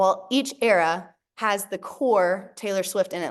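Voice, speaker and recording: This is a woman with a plain, everyday voice. Her pitch sits in the medium range, with ordinary pitch variation. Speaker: workshop presenter. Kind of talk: online workshop presentation.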